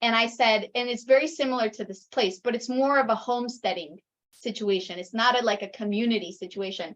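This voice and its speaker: A woman talks at a fairly quick pace with an American accent. Her pitch is fairly high, with ordinary variation. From raised in the US, Ecuadorian mother. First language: Spanish. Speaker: intentional community member. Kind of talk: casual chat.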